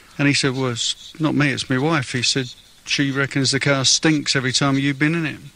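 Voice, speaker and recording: A man speaks in a London accent. His pace is fairly quick. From London (Fulham). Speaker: patient with rare condition. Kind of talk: radio interview.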